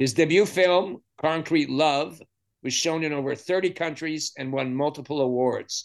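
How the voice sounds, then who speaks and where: Against a quiet background, a man with a fairly high pitch talks at a moderate pace with ordinary pitch variation. He has an ordinary speaking voice. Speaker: podcast host. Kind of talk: interview with scripted intro. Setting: video call.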